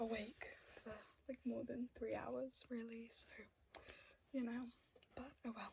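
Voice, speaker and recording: Soft-spoken and high-pitched, a woman talks at a fairly slow pace in a monotone, flat intonation, leaving long, frequent pauses. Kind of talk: ASMR show-and-tell talk to camera.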